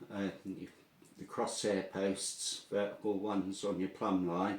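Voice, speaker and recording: In a strong Norfolk accent, a man speaks at a very slow pace, his fairly low pitch held in monotone, flat intonation. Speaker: air gun tutorial video maker. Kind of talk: tutorial. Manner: casual, hesitant with fillers.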